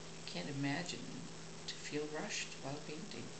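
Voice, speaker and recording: Loud background noise surrounds a woman with a non-native accent who speaks at a fairly slow pace. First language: not English. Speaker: painter. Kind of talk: casual talk while working. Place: home room.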